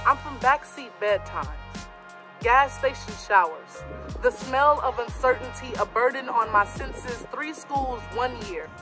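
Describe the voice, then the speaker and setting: Against clear music in the background, a woman speaks at a moderate pace with big swings in loudness and long, frequent pauses. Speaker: spoken word poet. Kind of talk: spoken word poetry performance. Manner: passionate. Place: garden. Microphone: phone near.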